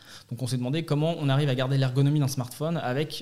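A man speaks very fast in a dark, mellow tone. His pitch is medium and his intonation fairly even. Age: 20s. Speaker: startup founder. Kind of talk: interview. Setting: studio. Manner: halting.

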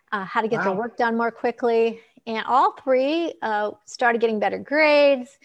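A woman with a plain, everyday voice, fairly high-pitched, ordinary pitch variation, moderate pace and a quiet background. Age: 60s. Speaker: optometrist and author. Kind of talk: casual interview. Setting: live video stream.

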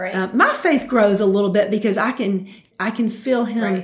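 In a Southern US accent, a woman talks at a fairly high pitch with ordinary pitch variation. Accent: Southern American. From US South, Metro Atlanta, Georgia. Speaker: mothers' fellowship leader. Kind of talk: casual chat. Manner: halting.

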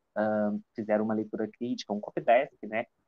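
A man speaks at a moderate pace in a medium-pitched voice. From Minas Gerais, Juiz de Fora. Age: 20s. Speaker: writer. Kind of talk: casual interview. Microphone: improvised setup, phone without usual headset.

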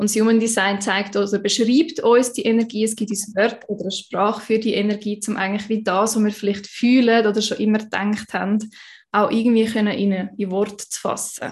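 Against a quiet background, a woman talks fairly quickly in a fairly high, somewhat breathy voice with monotone, flat intonation. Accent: Swiss. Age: 20s. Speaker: human design coach. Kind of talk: casual interview.

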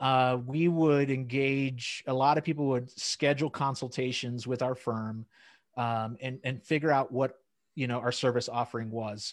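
A man at medium pitch and a moderate pace, with a quiet background. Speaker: accountant and YouTuber guest. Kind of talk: casual chat. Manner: extroverted, energetic.

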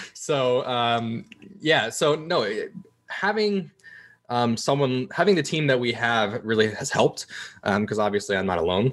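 A man speaks at medium pitch and a fairly slow pace, a normal speaking voice. His intonation is lively. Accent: American. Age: 20s. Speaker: esports executive and college student. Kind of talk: casual interview.

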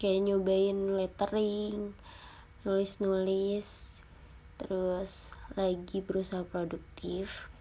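A woman speaks at a medium pitch. Her pace is very slow and her intonation is flat and monotone. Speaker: university student podcaster. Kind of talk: casual monologue. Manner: halting.

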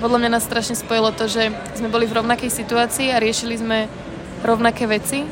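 Over noticeable background noise and audible room echo, a woman talks fairly quickly in a fairly high, monotone voice with flat intonation. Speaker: student abroad. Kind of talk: documentary interview.

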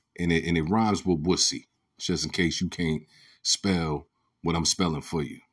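A man speaks in a passionate tone at a moderate pace. His voice is very deep and low, with fairly even intonation. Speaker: podcast host. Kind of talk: solo commentary monologue. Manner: passionate, rising voice.

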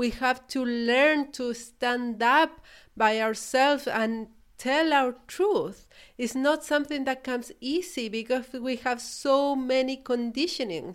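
Her high-pitched voice, with a warm tone and a Chilean accent, moves at a very slow pace with ordinary pitch variation. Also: very clean recording, silent background. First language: Spanish. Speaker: podcast host, business coach. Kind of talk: solo podcast monologue. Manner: reflective, warm, with hesitations.

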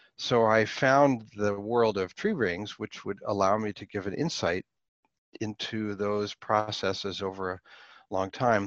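In an American accent, a man with an unremarkable speaking voice talks at a fairly slow pace, his fairly low pitch held in fairly even intonation, with a dry, close sound with no echo and a quiet background. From Pittsburgh, US. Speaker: professor. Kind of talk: interview.

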